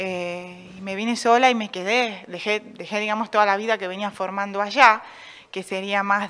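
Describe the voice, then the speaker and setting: Her tone bright and sharp, a woman speaks at a moderate pace with fairly even intonation. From Argentina, Buenos Aires northern suburbs; Argentina. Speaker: painter; interviewee. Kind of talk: radio interview. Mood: reflective, personal. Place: stage. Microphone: studio mic.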